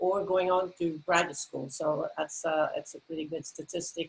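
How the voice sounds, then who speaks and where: A woman speaks with a Belgian accent. Her voice sits at a medium pitch with ordinary pitch variation. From Belgium. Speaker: university president. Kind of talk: panel discussion.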